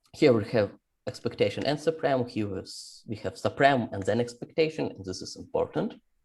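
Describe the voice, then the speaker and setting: This man has a medium pitch, a somewhat breathy voice and lively intonation. His loudness swings widely. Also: moderate pace. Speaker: mathematician. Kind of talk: lecture. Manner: halting.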